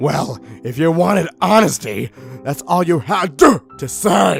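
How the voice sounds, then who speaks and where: Over clear background music, a man does a put-on character voice at a medium pitch, moving at a fairly slow pace with very wide pitch swings. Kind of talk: parody fanfic reading. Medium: read story.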